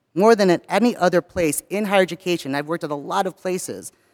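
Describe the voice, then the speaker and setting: A man with an American accent and a high pitch speaks at a very fast pace with ordinary pitch variation, the sound dry and close with no echo on a very clean recording with a silent background. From US, not Southern California. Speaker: university staff member. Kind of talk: chapel talk. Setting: chapel.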